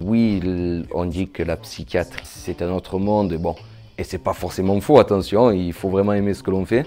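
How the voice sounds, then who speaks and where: Dark, mellow male voice, fairly low in pitch, with ordinary pitch variation. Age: 30s. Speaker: psychiatric nurse. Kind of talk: testimony interview. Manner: hesitant, with fillers and repetitions.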